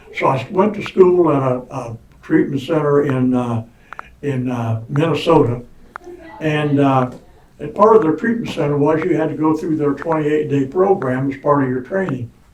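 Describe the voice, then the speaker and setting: A man's fairly high voice with an American accent and ordinary pitch variation, over noticeable background noise. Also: moderate pace. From Indiana. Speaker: recovering alcoholic telling his story. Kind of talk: personal testimony. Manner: loud; halting, repeats words.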